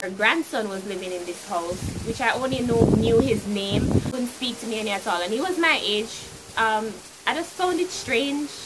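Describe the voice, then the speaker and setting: Amid noticeable background noise and audible room echo, a woman with a Jamaican accent speaks at a moderate pace in a fairly high pitch with lively intonation. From Jamaica (Clarendon). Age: young. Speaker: YouTuber. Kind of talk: storytime vlog. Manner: animated.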